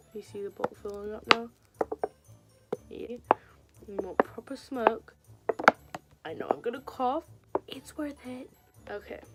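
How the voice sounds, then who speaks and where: Over music in the background, a woman with a fairly high pitch speaks with lively intonation and long, frequent pauses. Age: young. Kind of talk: casual talk to camera.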